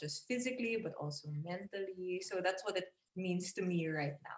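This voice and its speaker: A somewhat breathy woman's voice. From Philippines. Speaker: body positivity advocate, former plus-size model. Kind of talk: casual chat.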